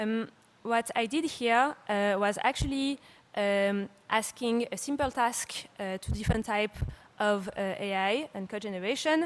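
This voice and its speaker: Speaking with a French accent, a woman uses a fairly high pitch with ordinary pitch variation. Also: fairly slow pace. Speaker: startup CEO and conference speaker. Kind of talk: conference talk. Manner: hesitant, many fillers.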